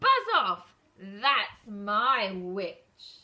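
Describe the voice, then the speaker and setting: A woman's put-on character voice, shrill, growling and croaky. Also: medium pitch for a woman. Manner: aggressive, shouting.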